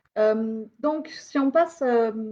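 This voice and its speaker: The woman's voice sits at a high pitch. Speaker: sociologist giving a lecture. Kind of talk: lecture. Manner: halting, many fillers.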